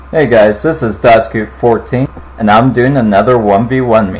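The man's voice is somewhat breathy. He talks at a fairly slow pace. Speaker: gaming channel host. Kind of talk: casual gaming commentary intro.

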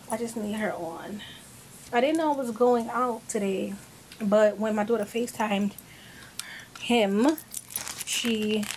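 A woman talks at a fairly slow pace with long, frequent pauses, her pitch fairly high with ordinary variation. Noticeable background noise is present. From New York, the Bronx. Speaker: lifestyle vlogger. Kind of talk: casual vlog talk to camera. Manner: animated.

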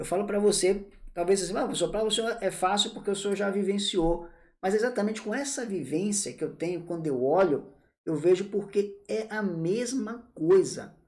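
The speaker talks at a moderate pace in an animated tone. The background is quiet. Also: man, high pitch for a man, ordinary pitch variation. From Bahia, Brazil (Salvador). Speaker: tax law teacher. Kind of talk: live online class. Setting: live stream. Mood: warm, informal. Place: home room. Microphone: earbuds.

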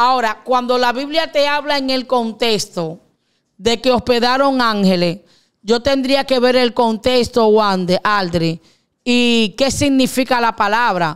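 A woman with a high pitch and an animated tone speaks at a fairly slow pace with ordinary pitch variation. Her loudness stays very even, and the background is quiet. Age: old. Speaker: pastor. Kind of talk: religious teaching talk. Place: studio. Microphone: studio mic.

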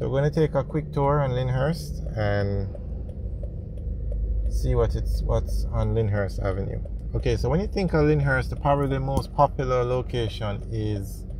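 Amid noticeable background noise, a man speaks at a moderate pace in a dry sound with no echo. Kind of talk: casual vlog commentary. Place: car. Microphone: phone near.

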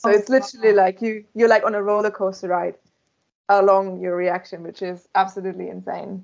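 Someone with a German accent talks very fast over a quiet background. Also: woman, medium pitch for a woman. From Germany. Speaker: beamline scientist. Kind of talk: interview. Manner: animated. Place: office. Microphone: video call.

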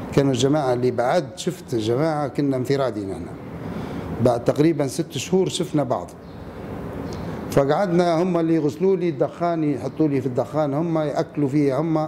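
A man talks at a fairly high pitch. Noticeable background noise can be heard. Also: ordinary pitch variation, moderate pace. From Libya. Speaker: former political prisoner. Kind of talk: interview answer. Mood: somber, reflective recollection. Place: hall.

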